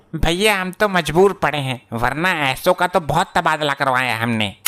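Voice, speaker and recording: In a cartoonish character voice, a man speaks at a moderate pace with a fairly high pitch and lively intonation. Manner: rustic, joking.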